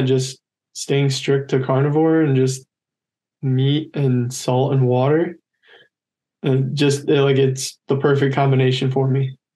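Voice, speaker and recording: Against a quiet background, the voice has a dark, mellow tone, somewhat breathy, with very even loudness and a fairly slow pace. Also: man. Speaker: college decathlete. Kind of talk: casual interview. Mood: cheerful, smiling. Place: home room. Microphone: video call.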